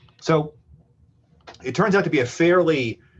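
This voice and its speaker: A man is speaking. His voice is somewhat breathy. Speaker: programming instructor. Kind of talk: lecture. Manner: fast.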